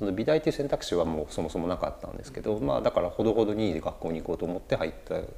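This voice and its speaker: A man speaking over noticeable background noise. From Japan, Chiba Prefecture. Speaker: potter. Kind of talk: casual interview chat. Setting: artist's studio.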